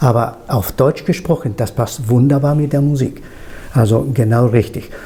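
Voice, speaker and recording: With a Spanish accent, a man speaks at a medium pitch and moderate pace in a dark, mellow, somewhat breathy tone with ordinary pitch variation. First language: Spanish (speaking German). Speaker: interviewer. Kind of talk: interview.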